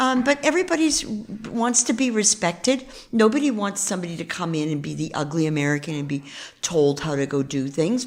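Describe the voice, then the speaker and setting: In a New York accent, a woman speaks at a fairly quick pace. Her fairly low voice moves in very wide pitch swings. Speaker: real estate investor. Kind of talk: interview.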